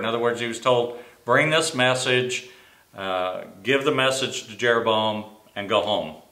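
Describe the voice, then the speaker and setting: With audible room echo, a man talks at a fairly slow pace and ordinary pitch variation. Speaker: Sunday school teacher. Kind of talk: Bible teaching. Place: office. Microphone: camera far.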